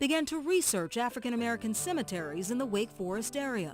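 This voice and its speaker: A fairly quick pace over background music. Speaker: reporter / narrator. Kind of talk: radio news feature narration.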